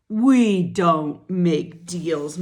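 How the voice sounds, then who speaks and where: In a put-on character voice, a female-sounding speaker growls in a gruff middle pitch. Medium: read story. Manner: growling, gruff.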